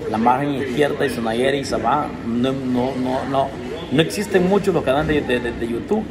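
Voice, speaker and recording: Moderate pacing from a man, with noticeable background noise. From Honduras. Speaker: YouTuber. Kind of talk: casual chat. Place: cafe. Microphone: phone near.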